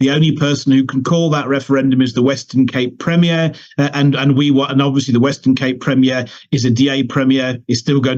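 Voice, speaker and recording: At a very fast pace, a man speaks at a medium pitch. His intonation is monotone and flat. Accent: British. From United Kingdom. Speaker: political party leader. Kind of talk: interview. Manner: halting, many repetitions.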